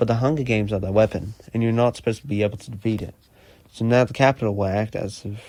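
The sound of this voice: It is an unforced reading voice. The intonation stays fairly even.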